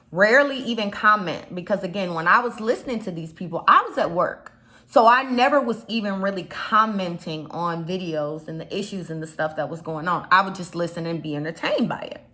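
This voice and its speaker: In an animated tone, a woman talks at medium pitch and a fairly quick pace with hardly any pauses, her intonation lively and her loudness swinging widely, while noticeable background noise runs underneath. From Chicago. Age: 30s. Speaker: YouTube commentator. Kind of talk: casual vlog commentary.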